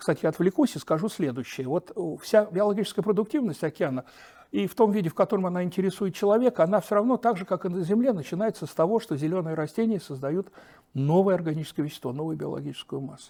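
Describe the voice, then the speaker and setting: Dark and mellow in tone, a man's high voice races at a very fast pace with lively intonation. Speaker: oceanologist. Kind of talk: interview. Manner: animated.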